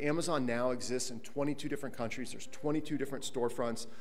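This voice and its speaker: A man's medium-pitched voice at a very fast pace, with ordinary pitch variation. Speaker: conference speaker, tech co-founder. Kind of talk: conference panel presentation. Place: hall.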